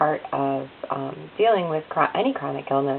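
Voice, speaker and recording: Noticeable background noise fills the recording. A woman talks through it at a moderate pace. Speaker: vlogger with chronic illness. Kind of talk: personal video diary. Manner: halting, many fillers.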